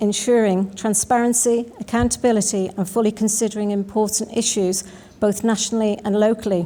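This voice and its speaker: Talking at a fairly quick pace in a Manx accent, a woman has a dark, mellow tone, a fairly high pitch and fairly even intonation. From Isle of Man. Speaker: election candidate, sitting politician. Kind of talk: prepared campaign statement.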